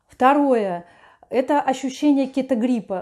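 In a quiet background, a woman with a high pitch speaks at a moderate pace in a dark, mellow tone with ordinary pitch variation. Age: 50s. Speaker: lifestyle vlogger. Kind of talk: video blog monologue. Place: home room. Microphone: lapel.

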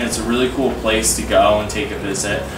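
Music plays behind a man as he talks. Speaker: vlogger. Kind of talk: casual vlog chat. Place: home room. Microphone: camera far.

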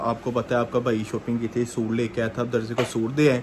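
A man's voice with faint background noise

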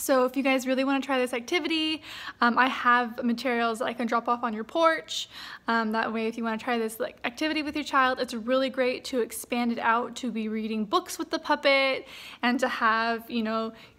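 Her pace fairly quick, a woman speaks at a high pitch in a bright, sharp tone with fairly even intonation. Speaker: therapist or teacher addressing parents. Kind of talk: casual tutorial message to parents. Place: home room. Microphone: phone near.

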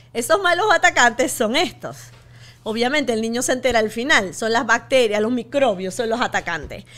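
The tone is bright and sharp, with lively intonation. The pace is moderate. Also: woman, high pitch for a woman. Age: 50s. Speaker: physician and author; podcast guest. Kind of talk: interview. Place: studio. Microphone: studio mic.

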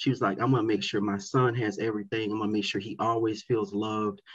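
A man with an American accent speaks. His voice is somewhat breathy against a quiet background. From South Florida. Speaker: educator and community advocate; guest. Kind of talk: interview. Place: home room. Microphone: webcam.

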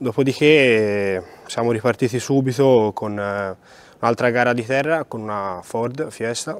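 In a normal speaking voice, a man talks at a fairly slow pace with medium pitch and ordinary pitch variation, the sound dry with no echo. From Italy, Florence; Italy. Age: 20s. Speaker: rally driver. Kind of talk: interview. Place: hall.

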